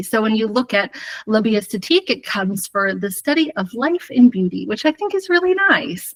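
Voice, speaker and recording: A woman with an American accent talks in a fairly high pitch, her intonation lively and her voice somewhat breathy. The sound is dry and close, with no echo. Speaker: hair colour educator. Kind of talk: live webinar presentation.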